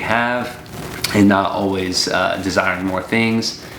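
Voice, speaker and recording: A man with a fairly low pitch speaks in a relaxed tone with fairly even intonation. Noticeable background noise and audible room echo are present. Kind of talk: casual devotional chat. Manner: relaxed conversational.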